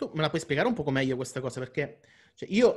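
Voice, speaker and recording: The man speaks at a very fast pace. His voice is somewhat breathy and fairly high in pitch. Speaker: interviewer, channel host. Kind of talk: casual interview. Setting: video call.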